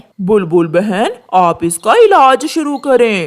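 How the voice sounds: A cartoonish character voice with fairly high pitch at a fairly slow pace.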